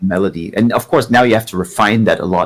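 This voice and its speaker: With a German accent, a man talks at a fairly quick pace and a medium pitch. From East Germany. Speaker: guitarist and singer. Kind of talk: casual interview chat.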